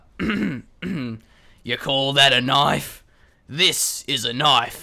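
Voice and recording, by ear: At a very slow pace, the speaker performs a put-on character voice in an Australian accent. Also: man, medium pitch for a man.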